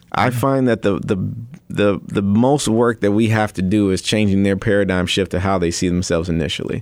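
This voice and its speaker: A man with an American accent talks fairly quickly in a plain, everyday voice, his fairly low pitch showing ordinary variation. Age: 30s. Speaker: nonprofit founder and author. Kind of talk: radio interview. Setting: radio studio.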